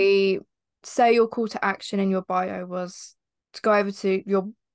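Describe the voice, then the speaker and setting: Against a quiet background, a woman speaks at a fairly slow pace. Her accent is southern English. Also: dry, close sound with no echo. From southern England, East Sussex. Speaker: podcast co-host, social media agency owner. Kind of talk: casual chat.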